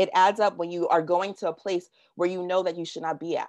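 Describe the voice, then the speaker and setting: A woman with an American accent and a medium pitch talks in an animated tone at a fairly quick pace against a quiet background. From Washington DC, US. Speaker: workshop presenter. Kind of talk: presentation. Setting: video call. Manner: fast.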